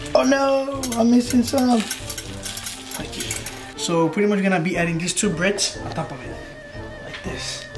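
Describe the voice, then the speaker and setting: A man at a fairly slow pace over clear music in the background. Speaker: home cooking vlogger. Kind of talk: casual vlog chat, tutorial. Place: kitchen. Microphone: camera far.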